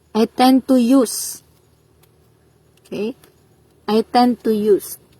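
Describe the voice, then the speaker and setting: Speaking at a very slow pace, a woman has a dark, mellow tone and a fairly high pitch with ordinary pitch variation. The sound is dry and close, with no echo. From Eastern Visayas, Philippines (Waray). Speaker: Korean language exam review teacher. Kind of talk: tutorial. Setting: livestream.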